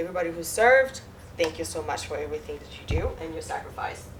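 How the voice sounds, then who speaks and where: Noticeable background noise surrounds a woman with a French Caribbean accent. She talks at a very fast pace. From Guadeloupe, French Caribbean. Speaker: mortgage loan officer. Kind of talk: presentation with audience Q&A.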